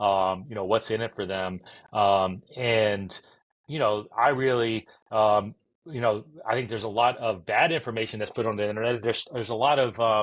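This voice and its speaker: Against a quiet background, a man with an American accent speaks at a medium pitch and a moderate pace, with fairly even intonation. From US South. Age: 40s. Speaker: entrepreneur. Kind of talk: podcast interview. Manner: halting, many fillers.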